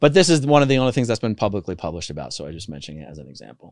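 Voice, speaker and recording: A very fast, fairly low male voice with an American accent, vocal fry and very wide pitch swings, in a dry sound with no echo. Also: quiet background. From United States. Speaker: former cult member turned activist and YouTuber; YouTuber. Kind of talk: casual interview. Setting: studio with microphone. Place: studio. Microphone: studio mic.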